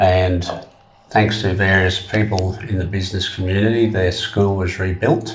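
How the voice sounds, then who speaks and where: The speaker sounds somewhat breathy and talks at a moderate pace. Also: man. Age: 70s. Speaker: trekker. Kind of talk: interview. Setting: studio.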